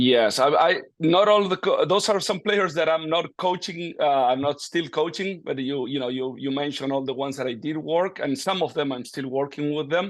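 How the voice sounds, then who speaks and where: A man with an Argentine accent speaks at a moderate pace, his fairly high pitch moving with ordinary variation. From Argentina, Buenos Aires. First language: Spanish. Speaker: golf coach. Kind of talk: interview.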